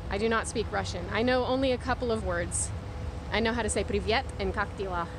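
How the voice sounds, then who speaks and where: The speech moves at a moderate pace. There is noticeable background noise. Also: woman. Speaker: live streamer vlogger. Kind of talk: casual chat. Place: street. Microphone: phone near.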